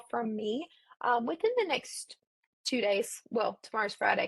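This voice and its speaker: She talks at a moderate pace. Her voice is fairly high-pitched and somewhat breathy. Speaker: education webinar presenter. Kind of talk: webinar presentation. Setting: online webinar.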